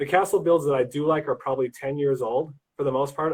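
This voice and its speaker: Fairly high in pitch, a man's voice comes through somewhat breathy. He talks at a fairly quick pace. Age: 40s. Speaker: lego builder. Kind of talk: casual chat. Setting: livestream interview.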